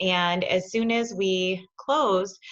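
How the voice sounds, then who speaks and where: A woman with a normal speaking voice talks at a fairly low pitch with ordinary pitch variation. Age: 40s. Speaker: spa business owner. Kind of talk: interview.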